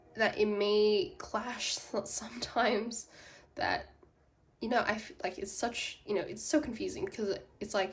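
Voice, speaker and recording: A woman speaks at a fairly slow pace in a somewhat breathy voice. Her tone is animated, with very wide pitch swings. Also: fairly high pitch for a woman. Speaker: psychic tarot reader. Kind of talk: tarot reading monologue. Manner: animated, many fillers.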